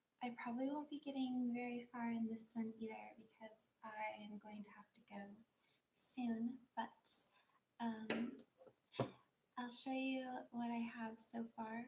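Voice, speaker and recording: A soft-spoken woman at a fairly high pitch, fairly slow in pace, monotone and flat in intonation, with big swings in loudness. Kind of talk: casual talk to camera, craft livestream.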